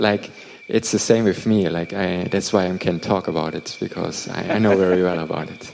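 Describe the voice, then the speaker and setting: Over noticeable background noise, a man with a non-native accent speaks in a very deep, low voice with fairly even intonation. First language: not English. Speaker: interpreter for a meditation teacher. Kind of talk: translated dharma talk Q&A. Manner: halting, repeats words.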